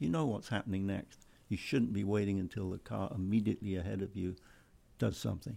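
A man with an English accent speaks at a fairly quick pace, his fairly low, dark, mellow voice showing ordinary pitch variation. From England. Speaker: racing club executive and driving instructor. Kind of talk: casual chat.

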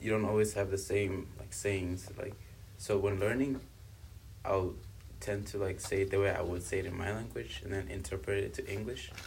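This man talks at a moderate pace with a fairly low pitch, ordinary pitch variation and vocal fry. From South Africa, born in Congo. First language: Swahili and Kibembe. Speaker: university student. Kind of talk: casual interview.

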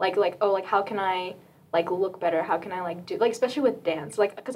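A woman talks at a fairly quick pace. She has an ordinary speaking voice at a medium pitch. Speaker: university student. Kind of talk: casual chat.

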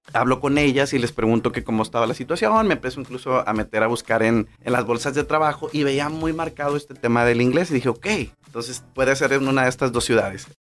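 The speaker goes at a very fast pace with hardly any pauses and ordinary pitch variation. Music plays in the background. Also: man, medium pitch for a man. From Mexico, Manzanillo, Colima. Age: 30s. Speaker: podcast host, nutritionist. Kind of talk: personal storytelling monologue. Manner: hesitant, many fillers.

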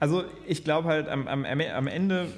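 The man speaks with ordinary pitch variation. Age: 20s. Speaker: podcast co-host, entrepreneur. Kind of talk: casual political discussion. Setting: office. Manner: hesitant, many fillers.

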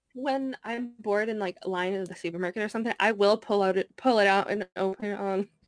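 In an ordinary speaking voice, a woman talks at a fairly quick pace and medium pitch with fairly even intonation and hardly any pauses, in a dry, close sound with no echo. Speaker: streamer and gamer. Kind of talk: casual chat.

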